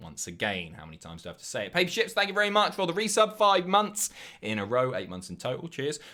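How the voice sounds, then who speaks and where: The man speaks with a southern English accent in a bright, sharp tone on a very clean recording with a silent background. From southern England. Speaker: live streamer. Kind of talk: casual chat reading viewer messages.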